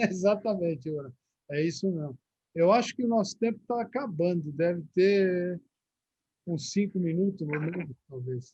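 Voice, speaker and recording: A man speaks in a high voice with a dark, mellow tone. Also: lively intonation, moderate pace. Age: 60s. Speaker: religious teacher. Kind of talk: live-streamed religious talk with Q&A.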